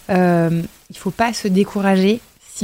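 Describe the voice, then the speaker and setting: Her tone dark and mellow, a woman talks at a medium pitch. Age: 20s. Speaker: former model, actress and author. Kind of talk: casual chat. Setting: live stream.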